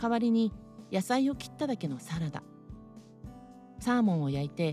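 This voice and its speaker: Music plays behind a woman whose pitch swings very widely. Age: 60s. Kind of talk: casual talk to camera.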